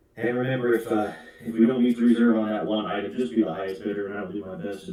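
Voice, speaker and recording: A man with an American accent speaks in a fairly low voice over noticeable background noise. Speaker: auctioneer and sheriff. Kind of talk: online auction host talking to bidders. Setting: live stream with echo.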